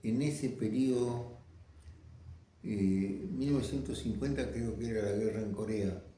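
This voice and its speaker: A man speaks at a fairly slow pace in a medium pitch with a dark, mellow, somewhat breathy tone. His pitch varies ordinarily, and there is audible room echo. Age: 90s. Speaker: veteran communist activist. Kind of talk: interview testimony. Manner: halting.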